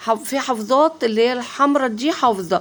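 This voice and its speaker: Against noticeable background noise, a woman speaks at a moderate pace in a fairly high pitch. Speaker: vlogger. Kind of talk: shopping market tour vlog. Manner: casual, chatty with many fillers.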